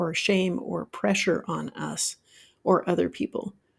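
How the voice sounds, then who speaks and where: In a very clean recording with a silent background, a woman with an American accent speaks at a medium pitch with vocal fry. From Utah, US. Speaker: life coach, podcast host. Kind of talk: solo podcast monologue.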